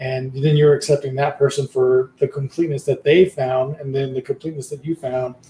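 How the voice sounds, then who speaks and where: A somewhat breathy man with a fairly high pitch, a dark, mellow tone and monotone, flat intonation, at a fairly quick pace with hardly any pauses. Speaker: podcast host and guest. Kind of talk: casual conversation. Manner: halting, repeats words.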